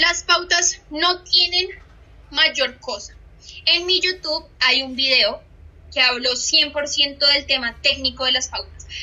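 Very slowly, a woman talks in a high voice. Her pitch varies in an ordinary way. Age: 20s. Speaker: social media trainer. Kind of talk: online training session. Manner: animated.

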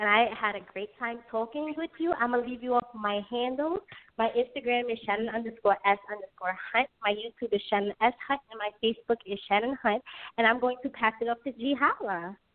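At a fairly quick pace, an unremarkable speaking voice talks with ordinary pitch variation. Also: woman, fairly high pitch for a woman. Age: young. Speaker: YouTuber. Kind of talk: interview.

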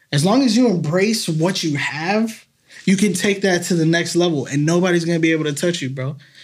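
A fairly quick voice with an American accent and ordinary pitch variation, in a room with audible echo. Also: man, high pitch for a man. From Massachusetts (Salem). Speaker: local songwriter and musician. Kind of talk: casual chat. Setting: studio.

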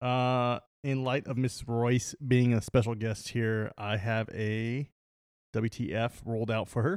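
In an unremarkable speaking voice, a man talks at a medium pitch and a fairly slow pace, with fairly even intonation. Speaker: podcast co-host. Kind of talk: casual chat.

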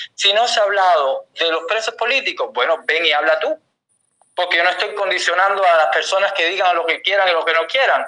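Raising and projecting his high voice, a man talks at a fairly quick pace with ordinary pitch variation. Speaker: summit organizer, activist. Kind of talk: heated debate.

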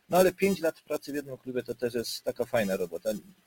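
Music plays in the background as a man talks. His pitch is fairly high and his pace fairly quick. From Silesia, Poland. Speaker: goalkeeper coach. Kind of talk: casual interview chat.

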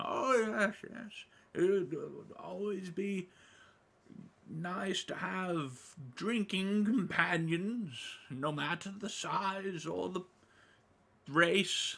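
The speaker uses a put-on character voice at a very slow pace. Long pauses come often. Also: man, high pitch for a man. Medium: actual play. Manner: warm, gently fussy, hesitant with little 'oh' and 'well' fillers.

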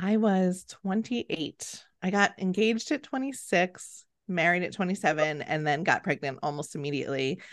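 A woman with a plain, everyday voice, medium in pitch, at a moderate pace over a quiet background. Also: lively intonation, hardly any pauses. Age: 30s. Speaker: company founder and mother. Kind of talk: casual interview.

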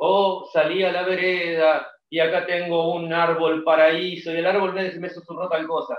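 A man speaks at a high pitch. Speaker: music podcaster. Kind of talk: casual chat.

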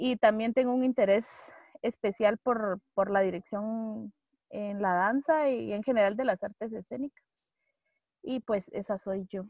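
Speaking at a fairly slow pace with ordinary pitch variation, a woman with a Guatemalan accent has a fairly high voice in a dry, close sound with no echo. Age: 20s. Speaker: actress and theatre director. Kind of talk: casual chat.

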